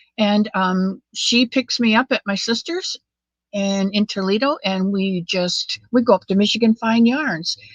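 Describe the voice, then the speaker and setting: A woman speaks fairly slowly in a somewhat breathy, fairly high voice. Her pitch varies in an ordinary way, and the sound is dry and close with no echo. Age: 70s. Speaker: crochet livestream host. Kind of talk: casual chat. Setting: livestream. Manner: halting.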